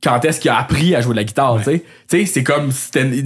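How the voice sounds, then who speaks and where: A man speaks with lively intonation. His fairly high voice is somewhat breathy. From Quebec, L'Assomption. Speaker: podcast host. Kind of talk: casual chat.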